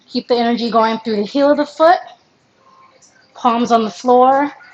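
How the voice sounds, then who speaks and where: Amid light background noise, a woman speaks at a moderate pace with a fairly high pitch and ordinary pitch variation. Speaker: professional dancer teaching a class; movement instructor. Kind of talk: live online dance stretch class instruction. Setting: live stream. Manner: loud. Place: home room. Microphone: camera far.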